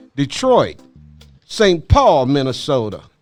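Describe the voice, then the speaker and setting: The voice moves in very wide pitch swings, with music in the background. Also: man. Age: 60s. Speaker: podcast host and activist. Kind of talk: interview discussion.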